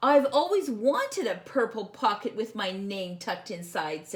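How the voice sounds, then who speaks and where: A woman does a put-on character voice at a fairly high pitch and a moderate pace. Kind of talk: children's picture book voice. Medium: read story. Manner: innocent, wondering.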